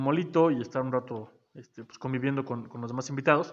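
Against a quiet background, a man with an ordinary speaking voice talks fairly quickly at a fairly high pitch, his pitch varying in an ordinary way. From Mexico, Zacatelco, Tlaxcala. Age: 30s. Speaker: aspiring local politician. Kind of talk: casual interview. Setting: studio.

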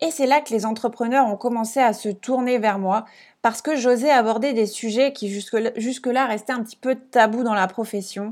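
An unremarkable speaking voice from a woman, fairly high in pitch, at a moderate pace with fairly even intonation, on a very clean recording with a silent background. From France, Alsace. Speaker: podcast host and business coach. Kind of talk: casual solo monologue.

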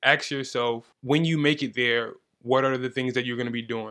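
A man talks at medium pitch with fairly even intonation. His tone is bright and sharp. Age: 20s. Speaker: amateur fighter, gym athlete. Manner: calm, chill, confident.

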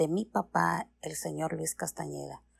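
A woman talks fairly slowly, recorded very cleanly against a silent background. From Mexico City. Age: 50s. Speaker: teacher. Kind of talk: recorded personal biography. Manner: formal.

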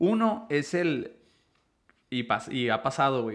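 A man with a normal speaking voice and medium pitch speaks at a fairly slow pace. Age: 30s. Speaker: podcast host. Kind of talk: casual chat.

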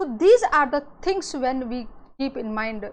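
A woman's high-pitched voice with an Indian accent. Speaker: cybersecurity educator. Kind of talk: lecture. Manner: frequent fillers and repetitions.

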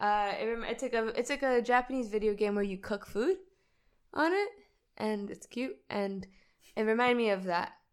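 In a very clean recording with a silent background, a woman with an American accent speaks at a moderate pace in a fairly high voice, with ordinary pitch variation and long, frequent pauses. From United States. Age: 40s. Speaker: guest friend. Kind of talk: casual chat.

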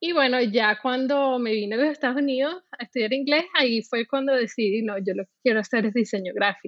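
A high-pitched woman at a fairly quick pace, with ordinary pitch variation and hardly any pauses. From Venezuela, Caracas. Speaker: UX designer and art director. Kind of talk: interview. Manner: halting, many repetitions and fillers.

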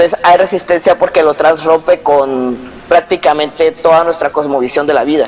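A man with a fairly high pitch speaks at a moderate pace. Noticeable background noise runs behind him. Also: fairly even intonation. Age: 30s. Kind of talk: interview.

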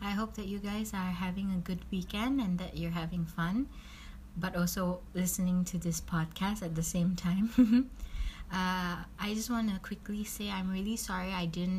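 Her voice somewhat breathy, a woman speaks at medium pitch with fairly even intonation. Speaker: podcast host. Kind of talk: casual podcast talk.

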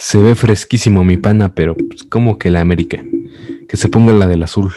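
A man with a fairly low pitch speaks in a dark, mellow tone. His pace is moderate and his intonation fairly even. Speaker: podcast co-host and editor. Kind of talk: casual chat.

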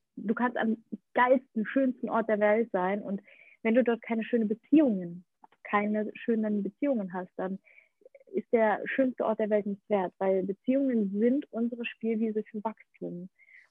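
With a plain, everyday voice, a woman talks at a fairly high pitch, her intonation fairly even. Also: moderate pace. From Ukraine-born, grew up in Germany. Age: 30s. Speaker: actress and podcaster. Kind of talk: interview. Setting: remote call from Bali to Berlin. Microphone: poor connection, sound not always optimal.

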